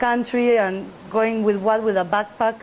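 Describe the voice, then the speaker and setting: The speaker talks at a moderate pace with a Spanish accent and monotone, flat intonation, with noticeable background noise present. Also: woman. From Argentina, Buenos Aires. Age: 30s. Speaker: big wave surfer. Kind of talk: interview. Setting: outdoors near ocean.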